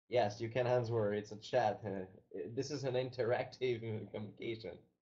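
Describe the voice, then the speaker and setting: In a French-Canadian accent, a man speaks with monotone, flat intonation and a dark, mellow tone that is somewhat breathy. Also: medium pitch for a man, moderate pace. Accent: French-Canadian, non-native English. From Quebec, Canada. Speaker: company founder. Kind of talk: webinar presentation. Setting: online webinar. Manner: halting.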